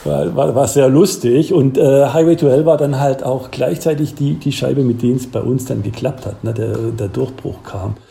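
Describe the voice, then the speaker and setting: Over noticeable background noise, a man speaks at a moderate pace, medium in pitch with ordinary pitch variation. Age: 50s. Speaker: professor. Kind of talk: casual chat.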